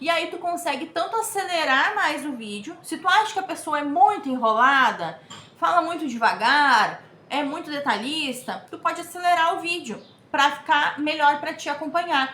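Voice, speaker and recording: In a raised, projected voice, a woman speaks at a moderate pace with a high pitch and lively intonation, with audible room echo. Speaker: crochet teacher / YouTuber. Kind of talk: tutorial. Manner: casual, chatty.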